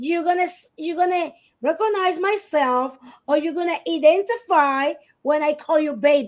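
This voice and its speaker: A woman with a Spanish accent, an extremely high pitch, ordinary pitch variation and a moderate pace. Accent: non-native English, Spanish speaker. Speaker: divorce guest expert. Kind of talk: podcast discussion.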